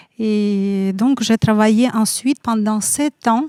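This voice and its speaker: A woman in a Siberian Russian accent speaks very slowly with fairly even intonation, a dark, mellow tone and a fairly high pitch. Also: dry, close sound with no echo. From Russia, Siberia (Kemerovo). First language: Russian (speaking French). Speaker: photographer. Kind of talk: interview. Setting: café.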